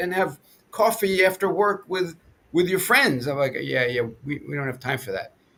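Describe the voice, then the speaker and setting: A man's fairly high-pitched voice with vocal fry and a New York accent, at a moderate pace. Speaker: podcast co-host. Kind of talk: casual chat.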